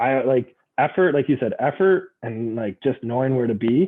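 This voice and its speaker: With a Canadian accent, a man speaks at a moderate pace using lively intonation. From Canada. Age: 20s. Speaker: former university basketball player and youth coach. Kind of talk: casual chat. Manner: loud.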